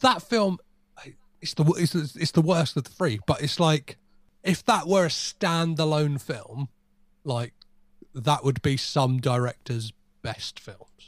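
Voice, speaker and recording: Somewhat breathy and fairly high in pitch, a man speaks at a very slow pace with lively intonation and long, frequent pauses, the sound dry and close with no echo. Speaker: podcaster, film podcast guest. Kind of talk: casual chat.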